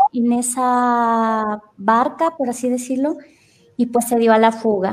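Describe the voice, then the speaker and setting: A woman with a fairly high voice speaks at a very slow pace. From Mexico, Salamanca, Guanajuato. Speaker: historian. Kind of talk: storytelling on a casual radio show.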